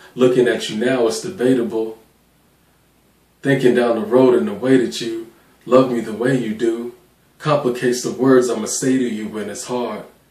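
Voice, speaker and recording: A man talks at a moderate pace with ordinary pitch variation, leaving long, frequent pauses, and the room echo is audible. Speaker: spoken word poet. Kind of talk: spoken word poetry performance. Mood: reflective, emotional, intimate. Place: home room.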